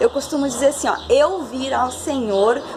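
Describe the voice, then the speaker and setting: A woman talks at a fairly slow pace in a high, warm voice with lively intonation. Noticeable background noise is present. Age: 30s. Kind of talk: personal testimony talk to camera. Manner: warm, casual.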